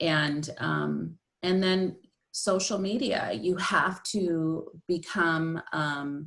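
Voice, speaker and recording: Very slowly, a woman speaks at a fairly low pitch with very even loudness. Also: ordinary pitch variation. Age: 60s. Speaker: author and life coach. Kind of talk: interview. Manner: conversational, with frequent fillers.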